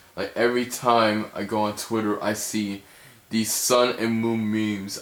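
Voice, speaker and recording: A man's fairly slow speech against noticeable background noise. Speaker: gaming video creator. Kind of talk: casual talk to camera.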